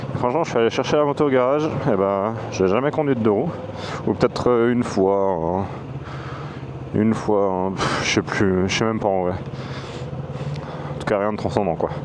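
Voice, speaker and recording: A man's fairly low voice with lively intonation at a moderate pace, audible room echo and noticeable background noise. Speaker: motovlogger. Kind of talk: casual vlog. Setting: on a motorcycle, mic inside helmet.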